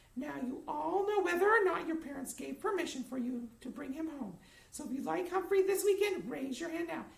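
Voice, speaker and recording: A put-on character voice pitched high. The pace is fairly quick. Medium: read story. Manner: firm, clipped.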